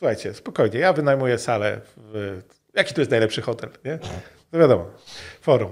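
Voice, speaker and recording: Against a quiet background, a man talks at a fairly quick pace. His loudness swings widely. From Poland. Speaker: game developer. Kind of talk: interview. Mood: relaxed, candid, a little wry. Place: studio. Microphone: studio mic.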